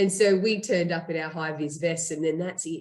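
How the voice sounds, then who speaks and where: With an Australian accent, a woman talks at a moderate pace and ordinary pitch variation. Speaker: startup co-founder and CEO. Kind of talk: interview.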